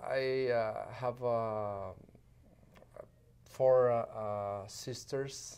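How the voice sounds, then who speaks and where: A man with a Spanish accent speaks at a very slow pace in a medium pitch, leaving long, frequent pauses. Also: fairly even intonation. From Sonora, northern Mexico. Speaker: diplomat, former mayor. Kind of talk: interview. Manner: halting.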